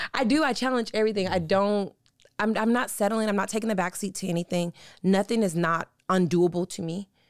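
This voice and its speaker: On a very clean recording with a silent background and dry, close sound with no echo, a woman with an ordinary speaking voice talks fairly quickly at a medium pitch with ordinary pitch variation. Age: 40s. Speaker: guest sharing her co-parenting story. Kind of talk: casual interview conversation.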